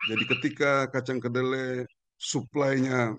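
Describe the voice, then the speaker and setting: A man at a fairly slow pace, dry sound with no echo, under loud background noise. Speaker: university lecturer in entrepreneurship; guest. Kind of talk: expert commentary. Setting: remote video call. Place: garden. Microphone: video call.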